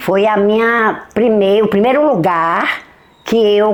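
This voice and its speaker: A woman at a very slow pace. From Bahia, Brazil (Caém district). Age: 70s. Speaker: retired schoolteacher. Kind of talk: documentary testimony.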